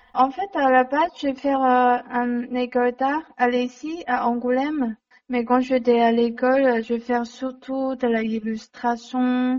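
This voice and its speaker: The speaker talks at a very slow pace with a Chinese accent and monotone, flat intonation. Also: woman, high pitch for a woman. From China. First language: Mandarin Chinese (speaking French). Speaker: illustrator and comic author. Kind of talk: interview. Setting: phone call. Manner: halting.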